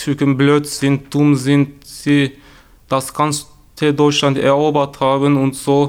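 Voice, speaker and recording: Speaking very slowly, a man with a Turkish accent has a fairly high pitch. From Turkey. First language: Turkish (speaking German). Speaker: youth newsroom member sharing racism experiences. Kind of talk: personal testimony. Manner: halting.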